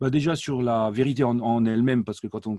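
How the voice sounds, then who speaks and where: This man speaks very fast in an Alsatian accent, at a medium pitch with a dark, mellow tone. His intonation stays fairly even, and the sound is dry and close with no echo. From France, Alsace. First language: Alsatian (speaking French). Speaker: language learning company director, polyglot. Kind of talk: interview. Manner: hesitant, many fillers.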